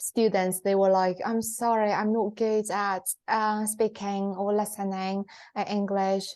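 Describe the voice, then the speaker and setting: A woman speaks fairly slowly with a Chinese accent. Her intonation is flat and monotone against a quiet background. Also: medium pitch for a woman, very even loudness. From China. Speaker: podcast co-host. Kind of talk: casual chat. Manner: halting, many fillers.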